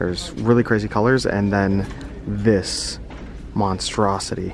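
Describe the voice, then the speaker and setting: Amid noticeable background noise and audible room echo, a man speaks slowly-ish at a fairly slow pace, with fairly even intonation and a fairly low pitch. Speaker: thrift reseller youtuber. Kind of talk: casual vlog. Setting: inside a thrift store.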